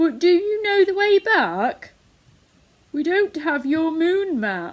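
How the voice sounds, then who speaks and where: Putting on a character voice, a woman speaks at an extremely high pitch. Her voice is raised and projected, and her pace is fairly slow. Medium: read story. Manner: calm, soothing.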